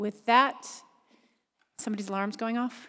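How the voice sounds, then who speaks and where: In a Boston accent, a woman speaks with a bright, sharp tone. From Boston, US. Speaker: board chair at public hearing. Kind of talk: public hearing chairing. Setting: public hearing with live audience. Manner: fast.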